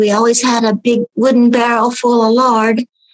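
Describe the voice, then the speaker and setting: In a Southern Appalachian accent, a woman with a fairly high pitch speaks at a fairly slow pace with monotone, flat intonation, in a dry, close sound with no echo. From Appalachian North Carolina. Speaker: podcast guest. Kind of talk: casual chat.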